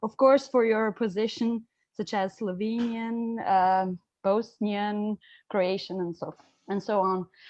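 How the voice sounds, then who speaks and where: At a very slow pace, a woman with an Albanian accent speaks at a fairly high pitch in a dry, close sound with no echo. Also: fairly even intonation. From Italy. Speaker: student asking a question. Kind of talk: audience question at online seminar. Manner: halting, many fillers.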